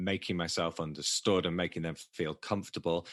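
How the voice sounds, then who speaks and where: A man's very deep, low pitch with a bright, sharp tone, moderate pace, dry, close sound with no echo, quiet background. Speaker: poker coach. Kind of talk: podcast interview. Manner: halting, many repeated words.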